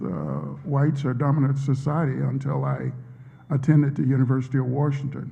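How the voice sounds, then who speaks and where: With audible room echo, a man in an American accent speaks in a medium-pitched, somewhat breathy voice with a dark, mellow tone. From US South, Vicksburg, Mississippi. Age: 60s. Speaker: professor. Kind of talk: interview answers at a public talk. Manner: hesitant, many fillers.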